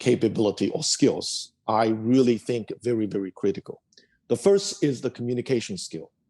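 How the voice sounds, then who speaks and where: A man with a Chinese accent talks at a moderate pace and medium pitch, his tone dark and mellow. The intonation is lively, and the sound is dry and close with no echo. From China. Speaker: tech executive. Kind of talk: interview.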